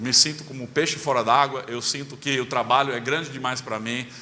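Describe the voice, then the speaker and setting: Over noticeable background noise and audible room echo, a man speaks at a medium pitch with fairly even intonation. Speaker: pastor. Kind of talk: sermon. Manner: hesitant fillers.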